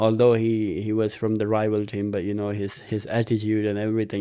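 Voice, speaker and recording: A man's dark, mellow voice at fairly low pitch and moderate pace, over a quiet background. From Pakistan. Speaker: school shooting survivor. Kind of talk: podcast interview. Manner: halting, many fillers.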